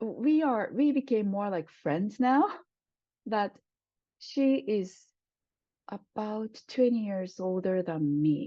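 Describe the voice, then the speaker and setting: A woman with a Japanese accent speaks at a very slow pace, with long, frequent pauses. Her fairly high pitch moves in lively intonation. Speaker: Japanese language professor. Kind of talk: oral history interview answer.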